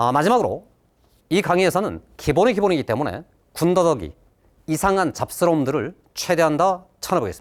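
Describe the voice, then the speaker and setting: A man talks at a fairly quick pace, and the recording is very clean with a silent background. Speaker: math teacher. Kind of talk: lecture.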